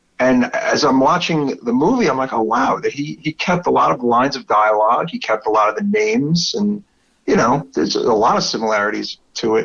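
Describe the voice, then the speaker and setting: A man with a strong Brooklyn accent talks at a fairly quick pace, his pitch swinging very widely. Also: medium pitch for a man. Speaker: podcast host. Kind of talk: casual chat.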